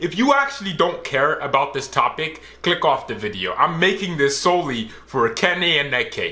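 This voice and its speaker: A loud, animated man with a high voice and audible echo in the room. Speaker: reaction youtuber. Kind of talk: reaction commentary.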